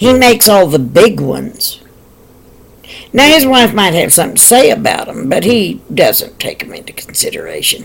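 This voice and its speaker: With an American accent, a woman speaks at a moderate pace, pausing long and often while her loudness swings widely. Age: 60s. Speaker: video blogger. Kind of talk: casual monologue commentary. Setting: at home in living room.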